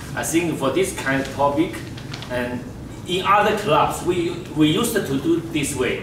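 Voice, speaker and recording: In a room with audible echo and noticeable background noise, a man with a Chinese accent speaks at a moderate pace in a fairly high pitch. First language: Mandarin Chinese. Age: 60s. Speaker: general evaluator at a speaking club. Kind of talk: meeting evaluation talk. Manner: halting.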